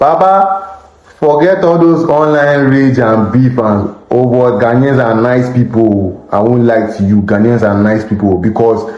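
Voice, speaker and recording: In a Nigerian accent, a man with a medium pitch talks at a fairly slow pace with lively intonation, very even loudness and hardly any pauses, amid noticeable background noise and audible room echo. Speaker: street interviewee. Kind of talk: casual chat. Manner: animated.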